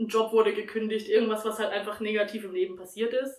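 A woman at a very fast pace, fairly high pitch and fairly even intonation. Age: 20s. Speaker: podcast guest talking about her depression. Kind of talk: personal testimony in casual interview.

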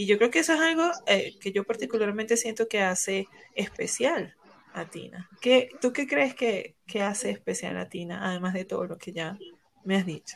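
With vocal fry and lively intonation, a woman talks at a moderate pace while her loudness swings a lot. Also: medium pitch for a woman. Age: 30s. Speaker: podcast host. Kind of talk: casual chat.

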